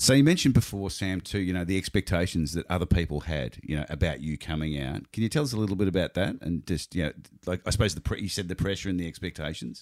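Using an Australian accent, a man with a very deep, low pitch talks at a very fast pace with lively intonation and hardly any pauses. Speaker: podcast host. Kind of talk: casual interview.

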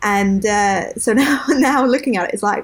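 Speaking with a southern English accent, a woman uses a fairly high pitch, ordinary pitch variation, and a fairly slow pace. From southern England. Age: 20s. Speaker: podcast co-host. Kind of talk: casual chat.

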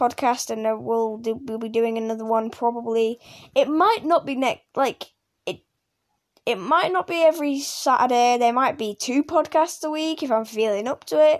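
A woman's high-pitched voice with ordinary pitch variation, at a moderate pace. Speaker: gaming youtuber. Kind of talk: casual podcast monologue. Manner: halting, stuttering.

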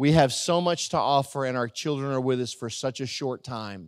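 A normal speaking voice moves at a moderate pace with ordinary pitch variation. The recording is very clean, with a silent background. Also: man. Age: 50s. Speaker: pastor. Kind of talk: sermon. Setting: church.

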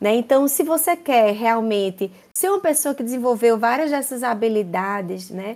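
On a very clean recording with a silent background, a woman with a strong Paraíba accent speaks at a moderate pace with lively intonation. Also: fairly high pitch for a woman. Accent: strong Paraíba (Northeast Brazilian). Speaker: university professor. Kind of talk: interview.

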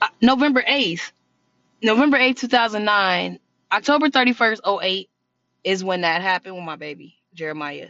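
A woman's animated tone rises and falls with lively intonation at a medium pitch. Her loudness swings widely. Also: moderate pace. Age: 20s. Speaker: podcast host. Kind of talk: casual monologue.

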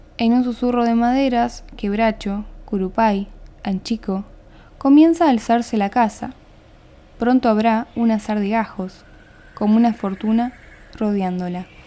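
Speaking at a fairly slow pace with long, frequent pauses, a woman uses a dark, mellow tone at a fairly high pitch. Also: ordinary pitch variation. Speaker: podcast host and poetry reader. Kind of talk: poetry reading, spoken word.

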